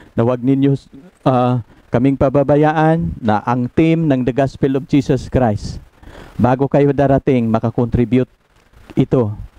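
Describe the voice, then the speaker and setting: Over a quiet background, a man talks at a fairly slow pace with fairly even intonation, the sound dry with no echo. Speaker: preacher. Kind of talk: spoken prayer. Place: home room. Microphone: headset.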